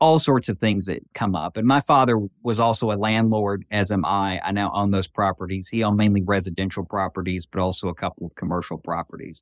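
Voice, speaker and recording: A man with a Southern US accent and a fairly low pitch, talking at a very fast pace with hardly any pauses and ordinary pitch variation, in a very clean recording with a silent background and a dry, close sound with no echo. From western Tennessee. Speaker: federal judge. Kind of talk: interview.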